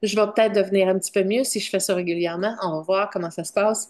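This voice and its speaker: Against a quiet background, a woman talks at a moderate pace. Her pitch is medium, with fairly even intonation. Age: 50s. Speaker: vlogger sharing diet experience. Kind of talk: personal testimony vlog. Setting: at home in front of computer. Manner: halting, searching for words.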